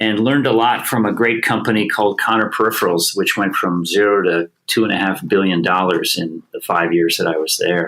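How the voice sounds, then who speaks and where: A man speaks in an unremarkable speaking voice, fairly low in pitch with ordinary pitch variation. His pace is fairly quick, with hardly any pauses. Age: 60s. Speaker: bicycle company executive. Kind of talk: podcast interview.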